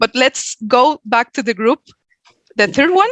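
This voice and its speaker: A woman with a Venezuelan accent, at a moderate pace, in a dry, close sound free of echo. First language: Spanish. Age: 40s. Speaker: HR coach and workshop speaker. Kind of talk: workshop presentation.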